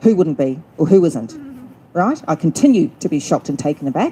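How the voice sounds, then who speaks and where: Loud and set against noticeable background noise, a woman with an Australian accent speaks with very wide pitch swings. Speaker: event organiser and MC. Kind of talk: public speech at rally.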